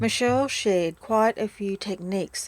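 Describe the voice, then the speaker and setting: A woman talks at a moderate pace and a medium pitch. Her pitch varies in an ordinary way. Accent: Australian. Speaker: podcast host, breakup recovery mentor. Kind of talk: podcast outro.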